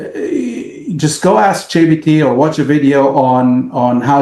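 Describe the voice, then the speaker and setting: With an Arabic accent, a man speaks at a fairly slow pace in a fairly high pitch and a dark, mellow tone. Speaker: business owner. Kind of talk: casual interview. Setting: podcast. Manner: halting, many fillers.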